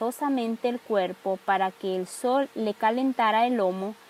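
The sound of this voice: An unforced reading voice and its ordinary pitch variation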